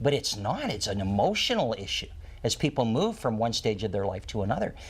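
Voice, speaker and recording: Somewhat breathy, a man's voice swings through a very wide pitch range. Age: 60s. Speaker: retirement planning expert and author. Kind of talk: talk show interview.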